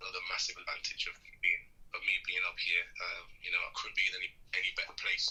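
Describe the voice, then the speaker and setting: This man's voice is extremely high-pitched, bright and sharp. He talks at a very fast pace in a monotone, flat intonation. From Russia, then England from age seven. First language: Russian. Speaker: boxer. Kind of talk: interview. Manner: halting, many fillers.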